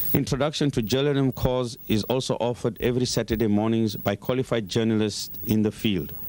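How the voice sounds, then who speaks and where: This is an unremarkable speaking voice with ordinary pitch variation and very even loudness. It moves at a fairly quick pace with hardly any pauses. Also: man, medium pitch for a man. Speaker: Islamic organization representative. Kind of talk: formal address. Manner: formal.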